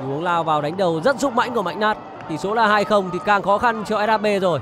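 Crowd noise sits in the background as a man speaks in an animated tone. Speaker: football commentator. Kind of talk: live sports commentary. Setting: stadium broadcast. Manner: animated, fast-paced play-by-play; formal, polished broadcast diction.

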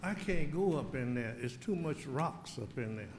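Audible room echo surrounds a man talking at a moderate pace with a Southern US accent. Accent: US South. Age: 80s+. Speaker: resident speaking at public comment. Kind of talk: public comment at council meeting.

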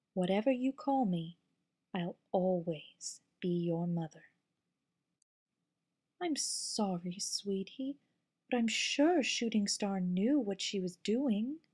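A woman's put-on character voice at a medium pitch, fairly slow, with long, frequent pauses. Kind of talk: fan voice acting audition.

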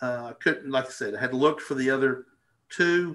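A man speaks with an Arkansas accent. His tone is bright and sharp. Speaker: birding presenter; presenter. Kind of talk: casual educational chat. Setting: live video stream. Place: home room. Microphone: headset.

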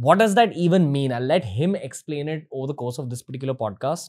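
The background is quiet. A man speaks, his intonation lively. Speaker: podcast host. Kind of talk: episode intro to camera. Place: studio. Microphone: studio mic.

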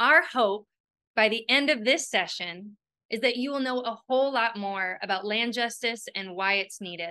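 A bright, sharp tone moves at a moderate pace with ordinary pitch variation over a quiet background. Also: woman. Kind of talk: prepared presentation. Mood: warm and smiling. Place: home room. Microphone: webcam.

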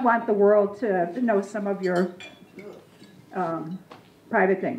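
A woman speaks at a fairly slow pace. Audible room echo and light background noise are present. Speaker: presenter. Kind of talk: lecture. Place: hall. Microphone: handheld.

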